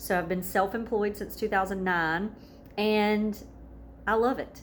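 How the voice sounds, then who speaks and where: With a Southern US accent, this woman speaks at a medium pitch. Her pace is moderate and her pitch variation ordinary. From US South. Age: 30s. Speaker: wellness vlogger and massage therapist. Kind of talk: casual vlog introduction.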